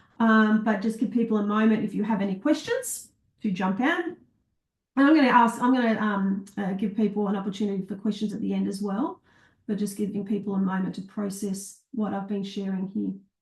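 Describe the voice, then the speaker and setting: Talking at a fairly quick pace, a woman sounds somewhat breathy, medium in pitch, with ordinary pitch variation. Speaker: teacher wellbeing trainer. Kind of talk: live online masterclass. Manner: fast.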